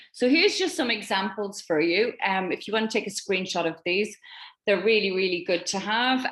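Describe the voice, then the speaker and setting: A woman with a slight Irish accent speaks with lively intonation. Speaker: network marketing team leader. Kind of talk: online training presentation.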